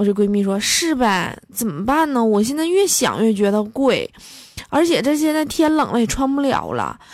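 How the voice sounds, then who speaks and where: High-pitched woman's voice, animated in tone with lively intonation, at a moderate pace. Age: 20s. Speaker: comedy podcaster. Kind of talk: comic monologue.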